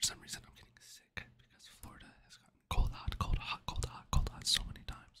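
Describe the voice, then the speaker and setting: A man's soft-spoken whisper with hardly any pauses. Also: fairly quick pace. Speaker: ASMR creator. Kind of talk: casual vlog chat, soft ASMR talk. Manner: soft whispered chatty aside. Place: home room. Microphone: studio mic.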